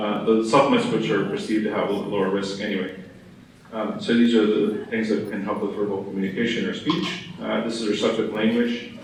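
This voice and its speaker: Against noticeable background noise and audible room echo, the speaker talks at a very fast pace with fairly even intonation. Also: man. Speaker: physician. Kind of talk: conference talk.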